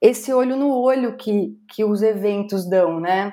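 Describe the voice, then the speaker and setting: The voice moves at a very slow pace with lively intonation. Its tone is dark and mellow. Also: woman. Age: 40s. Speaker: speaker and content curator. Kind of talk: interview podcast.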